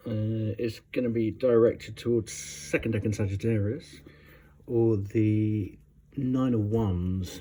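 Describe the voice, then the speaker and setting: A man speaks very slowly in a fairly low pitch with a dark, mellow tone. His somewhat breathy voice keeps a fairly even intonation. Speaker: tarot reader. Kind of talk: tarot reading. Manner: hesitant.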